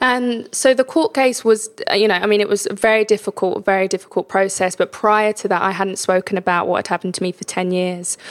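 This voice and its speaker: A woman with a London accent talks at a fairly quick pace with hardly any pauses, her intonation fairly even and the sound dry and close with no echo. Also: medium pitch for a woman. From East London (Hackney). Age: 30s. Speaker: charity ambassador sharing life story. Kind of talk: interview testimony. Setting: home kitchen.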